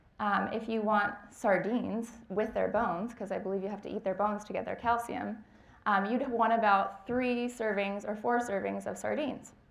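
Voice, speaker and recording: This woman's voice sits fairly high and moves at a moderate pace. Her intonation is fairly even, and room echo is audible. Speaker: dietetic intern. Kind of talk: lecture.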